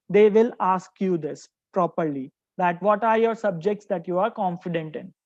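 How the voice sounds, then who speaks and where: A woman speaks in an ordinary speaking voice at medium pitch and a moderate pace, with ordinary pitch variation, over a quiet background. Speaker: workshop speaker on PhD admissions. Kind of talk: lecture.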